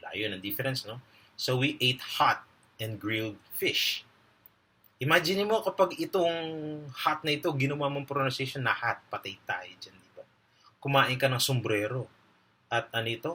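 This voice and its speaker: The speaker moves at a moderate pace, broken by long, frequent pauses. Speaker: English grammar teacher. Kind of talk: lecture.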